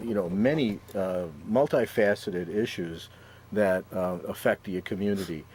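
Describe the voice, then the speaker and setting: A man speaks with a Chicago accent on a very clean recording with a silent background. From Chicago, Austin neighborhood. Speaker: city council candidate, public defender. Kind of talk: talk show interview. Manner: halting, many fillers.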